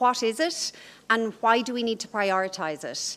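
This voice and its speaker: At a fairly slow pace, a woman with a fairly high pitch speaks with lively intonation in an Irish accent. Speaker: professor. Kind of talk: lecture. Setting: conference stage with audience.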